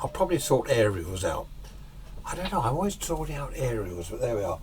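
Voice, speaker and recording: Speaking at a fairly quick pace with an English accent, a man is heard over noticeable background noise. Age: 60s. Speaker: radio restorer and amateur radio hobbyist. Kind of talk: casual vlog talk. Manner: rambling, hesitant.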